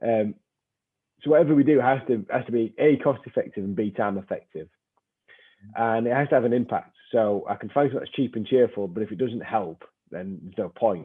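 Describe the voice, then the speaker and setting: A man's medium-pitched voice in a northern English accent, fairly quick, with ordinary pitch variation. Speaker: strength and conditioning coach. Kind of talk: webinar discussion.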